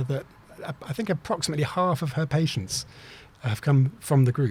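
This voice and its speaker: With an English accent, a man talks at a fairly quick pace in a fairly high pitch over noticeable background noise. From England. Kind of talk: interview answer.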